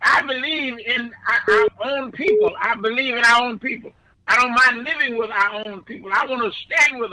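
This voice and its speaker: Raising and projecting his voice, a man speaks at a moderate pace at an extremely high pitch, with lively intonation and big swings in loudness. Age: 90s. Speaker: pastor. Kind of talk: radio interview. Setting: radio studio. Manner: halting, repeats words.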